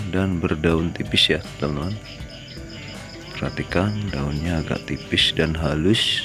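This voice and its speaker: Fairly slow, fairly even speech with clear music in the background. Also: man. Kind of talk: tutorial. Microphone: phone near.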